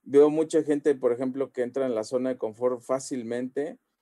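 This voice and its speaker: A man with a Mexican accent, medium pitch, dark, mellow tone and fairly even intonation, in a dry, close sound with no echo. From Mexico, Xalapa (Veracruz). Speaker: convention organizer and comic store owner. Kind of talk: podcast interview.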